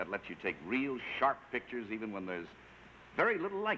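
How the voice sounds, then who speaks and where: At a fairly quick pace, a man with a bright, sharp tone and vocal fry makes very wide pitch swings over light background noise. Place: studio. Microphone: camera far.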